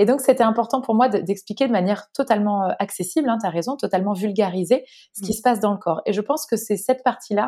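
Talking at a very fast pace, a woman has a dark, mellow tone and ordinary pitch variation. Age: 30s. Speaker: naturopath and author. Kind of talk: interview.

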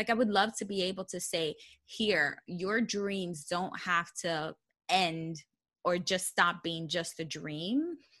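With a New York accent, a woman at medium pitch speaks in a bright, sharp tone at a very slow pace, with ordinary pitch variation and a quiet background. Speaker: personal finance blogger. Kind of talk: podcast interview.

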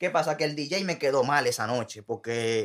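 An unremarkable speaking voice belongs to a man who talks at a moderate pace with a fairly high pitch and ordinary pitch variation. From Puerto Rico and Dominican Republic. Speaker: musician and sound technician. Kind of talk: casual interview.

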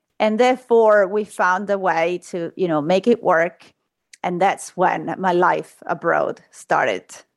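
The speaker has an Italian accent and a fairly slow pace. The background is quiet. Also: woman, medium pitch for a woman, ordinary pitch variation. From Italy, Rome. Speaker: surgeon. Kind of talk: interview.

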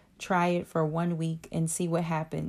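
Recorded very cleanly against a silent background, a woman speaks at a fairly low pitch in an ordinary speaking voice. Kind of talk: guided meditation. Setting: audiobook-style reading. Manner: slow, calm, soothing; gentle, hushed, with long pauses.

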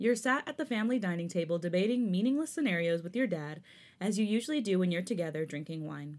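Speaking at a very fast pace, a woman with a medium pitch swings her voice very widely, captured in a very clean recording with a silent background. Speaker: podcast co-host. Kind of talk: reading fanfiction aloud; casual chat. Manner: trips over words when reading.

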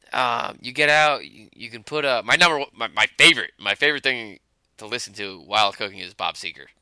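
On a very clean recording with a silent background, a man with an American accent speaks very fast at a medium pitch, with lively intonation, big swings in loudness, a bright, sharp tone, and a dry, close sound with no echo. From New Jersey, New York suburbs. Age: 30s. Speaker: host's friend. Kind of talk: casual chat. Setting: basement bar.

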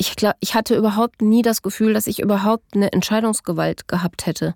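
Recorded dry and close with no echo, a woman speaks at a fairly quick pace in a medium pitch, with ordinary pitch variation. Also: very clean recording, silent background. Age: 40s. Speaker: adult survivor of childhood parental abduction. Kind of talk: personal testimony interview. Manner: halting, many filler sounds.

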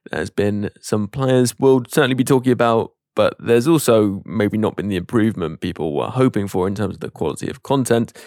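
A man with a British accent at a medium pitch, ordinary pitch variation, a fairly quick pace and hardly any pauses, in a dry, close sound with no echo. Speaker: podcast host. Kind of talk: casual chat.

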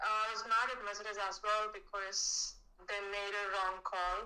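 A woman speaks at a medium pitch and moderate pace, with monotone, flat intonation. Noticeable background noise is present. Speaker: caller, F1 fan. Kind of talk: casual chat.

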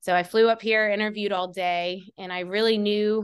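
Over a quiet background, a woman talks at a moderate pace. Her intonation is monotone and flat. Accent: Southern US. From US South. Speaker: college football sports dietitian. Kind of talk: casual interview.

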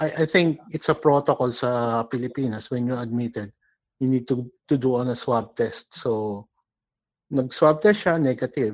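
A man's plain, everyday voice at medium pitch, moderate pace, quiet background. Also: ordinary pitch variation. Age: 40s. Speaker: caller. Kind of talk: phone-in question.

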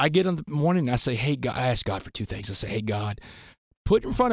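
A man with a Texan accent speaks with lively intonation. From US South, Port Arthur, Texas. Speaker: motivational speaker. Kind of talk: interview storytelling. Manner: animated.

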